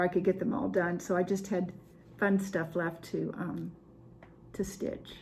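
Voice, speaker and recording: Speaking at a moderate pace, a woman uses vocal fry, fairly even intonation and medium pitch. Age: 70s. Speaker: cross stitch video host. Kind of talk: casual show-and-tell chat to camera. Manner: halting, many fillers.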